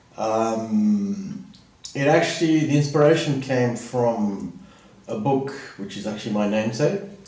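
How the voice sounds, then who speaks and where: In a Southern African accent, a man at medium pitch speaks with lively intonation, with noticeable background noise and audible room echo. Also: fairly slow pace. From Southern Africa, schooled in Zimbabwe. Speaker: vlogger. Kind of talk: casual monologue. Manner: halting, with many fillers.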